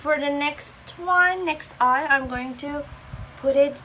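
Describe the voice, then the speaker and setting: A woman uses a raised, projected voice at a high pitch. Her pace is fairly slow, with ordinary pitch variation. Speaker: beauty vlogger. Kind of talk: tutorial.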